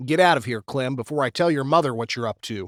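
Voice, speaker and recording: In a put-on character voice, a man growls at a very fast pace with medium pitch, and the sound is dry and close with no echo. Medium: read story. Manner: dry, unflappable.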